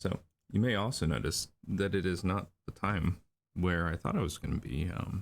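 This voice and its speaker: A man speaks at a fairly slow pace. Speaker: storyboard artist streaming drawing session. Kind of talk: livestream tutorial while drawing. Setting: livestream at home computer. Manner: mumbling; hesitant, many fillers.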